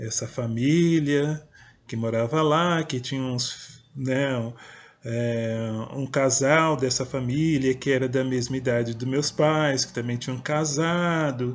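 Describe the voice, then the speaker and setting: A man's fairly even intonation unfolds at a very slow pace. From interior of São Paulo state, Brazil. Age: 50s. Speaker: poet and writer, video blogger; poet, video blogger. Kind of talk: personal storytelling monologue. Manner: hesitant, with fillers. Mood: calm, reflective. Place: home room. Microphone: webcam.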